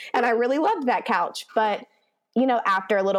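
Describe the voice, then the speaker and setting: Speaking at a very fast pace with a Texan accent, a woman with a fairly high voice uses lively intonation. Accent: Texan American. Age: 30s. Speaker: elementary school teacher. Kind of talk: casual chat.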